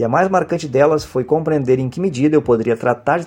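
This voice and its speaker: Talking at a fairly quick pace, a man uses a normal speaking voice with ordinary pitch variation. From Brazil, Porto Alegre (Rio Grande do Sul). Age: 50s. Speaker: university professor. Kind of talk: oral history testimony. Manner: formal.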